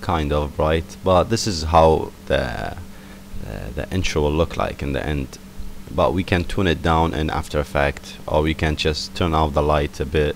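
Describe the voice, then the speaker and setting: A man with a non-native accent and a very deep, low pitch, at a moderate pace with fairly even intonation, amid noticeable background noise. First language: not English. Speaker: software tutorial maker. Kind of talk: tutorial. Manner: casual, hesitant with fillers.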